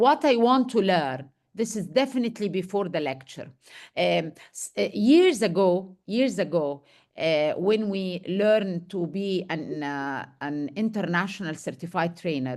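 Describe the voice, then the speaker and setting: The speaker has an Arabic accent and a fairly slow pace. The background is quiet. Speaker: medical education trainer. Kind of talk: lecture Q&A.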